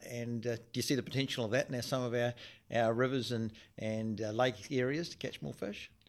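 On a very clean recording with a silent background, a man with a New Zealand accent speaks at a moderate pace and medium pitch, his intonation fairly even. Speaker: podcast host. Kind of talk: casual interview.

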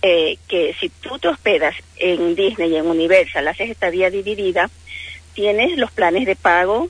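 Over noticeable background noise, a woman with an Ecuadorian accent speaks at a medium pitch and a fairly slow pace, showing ordinary pitch variation. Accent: non-Argentine, Ecuadorian. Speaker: travel agent. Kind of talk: radio interview.

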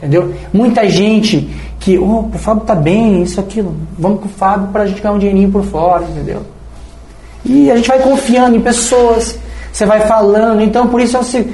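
A man's high-pitched voice at a fairly quick pace, with noticeable background noise and audible room echo. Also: ordinary pitch variation. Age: 40s. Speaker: business owner. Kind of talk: casual chat.

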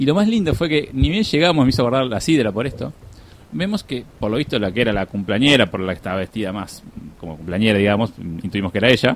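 Talking at a very fast pace, a man with a medium pitch makes very wide pitch swings. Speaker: podcast host. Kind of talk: live radio chat. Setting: radio studio. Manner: animated.

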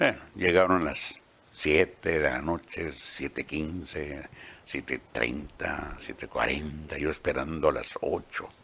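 Very deep and low in pitch, a man speaks at a very slow pace with fairly even intonation amid noticeable background noise. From Mexico, Baja California (Ensenada). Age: 80s+. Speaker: veteran radio announcer and journalist. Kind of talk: autobiographical interview.

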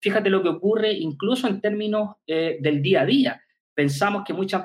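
A man's high voice, with ordinary pitch variation, carries along at a moderate speed. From Chile, Concepción. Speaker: physical education professor and researcher. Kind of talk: interview conversation. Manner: halting, with frequent repetitions.

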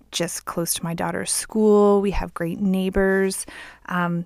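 A woman at a medium pitch, flat and monotone, at a fairly slow pace, on a very clean recording with a silent background. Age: 40s. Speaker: podcast host. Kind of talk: casual monologue. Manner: laughs often.

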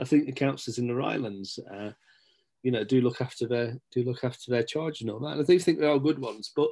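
At a fairly quick pace, a man with a medium pitch speaks in an East Midlands accent. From Nottinghamshire, England (Stapleford). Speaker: local journalist and community figure. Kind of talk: casual interview chat.

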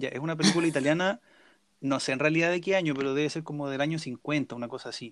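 A man with a Chilean accent speaks at a very fast pace. His fairly high pitch holds a fairly even intonation. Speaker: podcast co-host. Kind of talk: casual chat.

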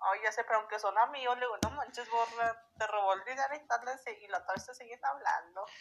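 A woman's normal speaking voice, fairly high in pitch with ordinary pitch variation, at a fairly quick pace with hardly any pauses and big swings in loudness. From Durango, Mexico. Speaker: stranger met on a voice chat app. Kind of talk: casual chat. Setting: app voice call.

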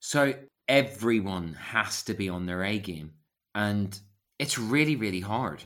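A man talks at a fairly slow pace in a Belfast accent. His fairly low voice has lively intonation. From Northern Ireland, West Belfast. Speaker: actor, writer and acting coach. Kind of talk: casual chat.

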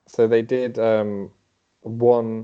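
With an English Midlands accent, a man speaks in a dark, mellow tone. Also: quiet background. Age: young. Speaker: podiatrist. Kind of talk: interview.

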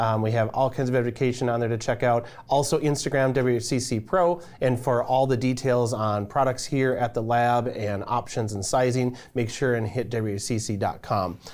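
This man speaks in an ordinary speaking voice at a moderate pace. His pitch is medium and his intonation fairly even. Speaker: interviewer, client success manager. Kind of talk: casual interview chat.

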